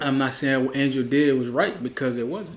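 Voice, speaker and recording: With a New Orleans accent, a man speaks at a fairly high pitch. His pace is moderate. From Louisiana, New Orleans. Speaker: co-commentator. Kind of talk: casual reaction commentary.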